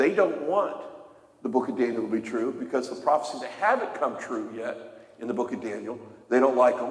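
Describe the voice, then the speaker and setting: With audible room echo and noticeable background noise, a man speaks at a moderate pace in a fairly high pitch, his intonation lively. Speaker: Bible teacher. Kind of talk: sermon.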